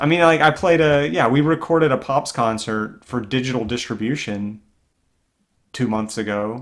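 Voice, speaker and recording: There is a man with an unremarkable speaking voice and an American accent, talking at medium pitch and moderate pace with ordinary pitch variation on a very clean recording with a silent background. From US South, Greenville, South Carolina. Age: 30s. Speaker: orchestral clarinetist and teacher. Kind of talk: casual interview conversation.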